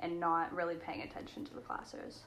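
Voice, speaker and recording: Delivered at a very fast pace, the speech carries audible room echo and noticeable background noise. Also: woman. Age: 18. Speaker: university student. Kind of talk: casual chat.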